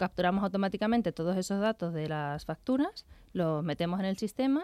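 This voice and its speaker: Speaking at a fairly quick pace with lively intonation, a woman is heard in a dry, close sound with no echo, on a very clean recording with a silent background. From Seville, Andalusia. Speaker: environmental tech entrepreneur. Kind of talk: radio interview.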